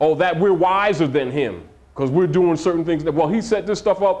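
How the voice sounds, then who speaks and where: In audible room echo, a man with a high pitch speaks at a moderate pace with very even loudness and ordinary pitch variation. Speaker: religious teacher. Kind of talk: lecture.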